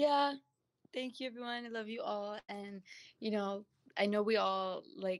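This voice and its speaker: An unremarkable speaking voice from a woman with an American accent, medium in pitch, with ordinary pitch variation and a moderate pace. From Brooklyn, New York. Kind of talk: panel discussion.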